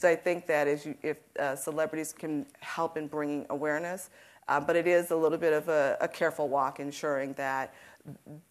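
Monotone and flat, a woman speaks at a fairly quick pace in a very deep, low pitch. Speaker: nonprofit executive director; panelist. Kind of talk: panel discussion. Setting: stage with audience. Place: stage. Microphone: lapel.

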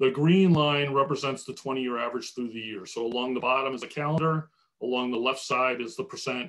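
A man at a fairly quick pace, ordinary pitch variation and a quiet background. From New Jersey. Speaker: water utility executive; panelist. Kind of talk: webinar presentation and Q&A. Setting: video call. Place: home room. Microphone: video call.

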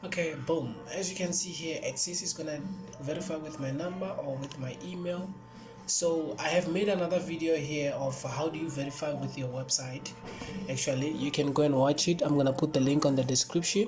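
Clear music plays in the background as the speaker moves at a fairly quick pace. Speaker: web tutorial maker. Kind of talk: tutorial. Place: home room.

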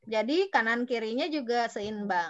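A woman projects a raised voice in a bright, sharp tone. Her pitch swings very widely against a quiet background. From West Java, Bandung; West Java. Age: 40s. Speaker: education consultant. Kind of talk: online workshop talk. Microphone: video call.

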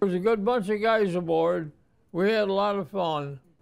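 A man with an American accent talks at a moderate pace in a high voice, his pitch varying in an ordinary way. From Watertown, New York. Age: 90s. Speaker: Navy veteran. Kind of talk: interview answer. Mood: reflective, proud, nostalgic. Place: home room.

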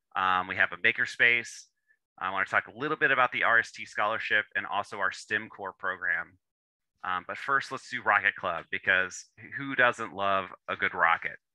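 A man speaks at a moderate pace, the sound dry with no echo and the background quiet. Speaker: presenter. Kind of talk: lecture. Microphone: video call.

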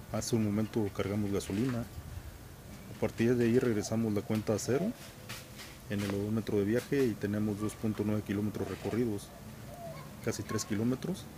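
Over noticeable background noise, a man speaks at a moderate pace with a fairly low pitch and fairly even intonation. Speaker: motorcycle vlogger. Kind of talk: casual vlog chat. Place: garden.

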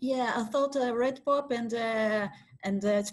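With a Portuguese accent, a woman speaks at a moderate pace and a fairly high pitch, showing ordinary pitch variation against a quiet background. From Brazil. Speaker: science communication researcher and lecturer; lecturer. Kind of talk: webinar presentation. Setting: video call. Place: home room. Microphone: video call.

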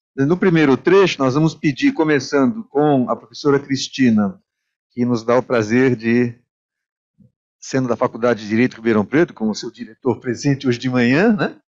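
Ordinary pitch variation at a moderate pace, over a quiet background. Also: man. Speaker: moderator. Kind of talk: panel discussion. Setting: stage with audience. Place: meeting room.

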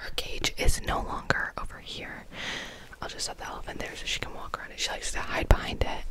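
Over loud background noise, a woman whispers fairly quickly in a soft-spoken voice, with a dry sound and no echo. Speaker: room tour host. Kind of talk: casual vlog chat. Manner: soft ASMR-style near-whisper narration. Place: home room.

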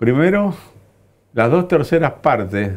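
A man talks fairly slowly, the background around him quiet. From Argentina. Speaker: veteran party politician; guest. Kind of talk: interview. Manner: animated. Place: studio.

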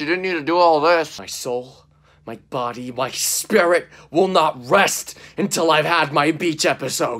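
The setting is quiet. A man talks with lively intonation. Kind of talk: comedic character dialogue sketch. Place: home room. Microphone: phone near.

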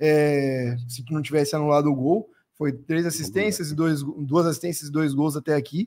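Against a quiet background, the voice carries a dark, mellow tone. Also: man, ordinary pitch variation, moderate pace. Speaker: football commentator. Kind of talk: live sports talk show. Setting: studio. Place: studio. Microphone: studio mic.

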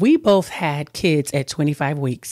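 A woman speaks in an animated tone, the sound dry with no echo and the background quiet. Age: 50s. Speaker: talk show host. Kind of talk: interview. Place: studio. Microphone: studio mic.

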